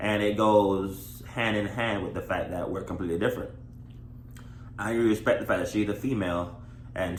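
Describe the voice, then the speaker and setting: Amid audible room echo, a man with vocal fry and a fairly low pitch talks at a moderate pace with lively intonation and long, frequent pauses. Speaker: married vlogger. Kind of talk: casual chat. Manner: loud.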